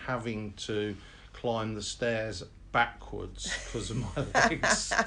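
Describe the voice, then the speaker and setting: A man speaks with audible room echo around him. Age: 70s. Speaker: parkrun volunteer and veteran marathon runner. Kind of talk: interview. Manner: hesitant, many fillers.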